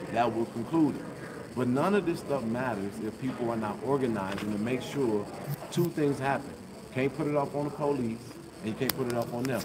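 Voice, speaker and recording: Loud background noise under a man's fairly quick speech. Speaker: independent journalist. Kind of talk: public comment at a meeting. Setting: meeting hall with live audience. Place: hall. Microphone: phone near.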